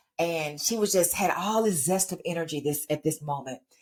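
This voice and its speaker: A woman's fairly low voice in an animated tone, lively intonation at a moderate pace, with an American accent. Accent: Texas accent, comes and goes. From Texas. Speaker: podcast host. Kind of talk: motivational podcast monologue.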